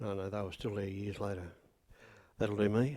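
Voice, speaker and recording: There is a rural Australian accent in this man's speech. His pitch is fairly low and his intonation fairly even. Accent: broad rural Australian. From rural Victoria, Australia. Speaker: local resident sharing memories. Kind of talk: group reminiscence.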